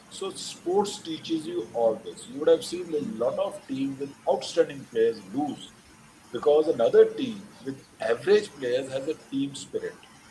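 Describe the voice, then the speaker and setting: This man's loudness swings widely, with noticeable background noise behind him. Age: 60s. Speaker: retired army general and polo player. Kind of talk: invited talk with Q&A.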